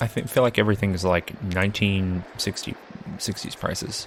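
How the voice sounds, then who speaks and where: At a moderate pace, a man is talking. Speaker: gaming commentator. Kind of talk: let's play commentary. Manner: whispering at times; casual.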